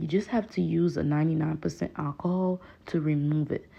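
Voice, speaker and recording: A woman with a strong Haitian accent talks at a fairly quick pace in a very deep, low pitch with fairly even intonation. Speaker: hair stylist. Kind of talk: tutorial voiceover. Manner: casual, chatty.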